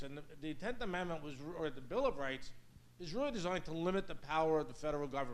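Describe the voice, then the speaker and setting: Audible room echo surrounds a man's voice. He talks at a very fast pace with lively intonation. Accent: New York. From US Northeast, Brooklyn, New York. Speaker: law professor. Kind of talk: lecture.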